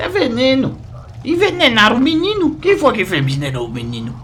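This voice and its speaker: A man mumbles in a put-on character voice at a fairly quick pace, with clear background noise behind him. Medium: audio drama. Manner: rambling, repetitive, mumbling.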